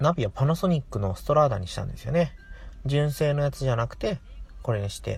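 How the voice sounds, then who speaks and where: Here a man speaks at a fairly high pitch. His voice is somewhat breathy, with lively intonation. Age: 30s. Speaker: podcast host; nurse. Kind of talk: casual monologue. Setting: in a car.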